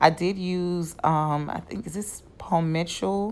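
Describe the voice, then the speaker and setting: A woman speaks with a New York accent. Her pitch varies in an ordinary way. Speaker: wig stylist. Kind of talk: tutorial. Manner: casual, chatty.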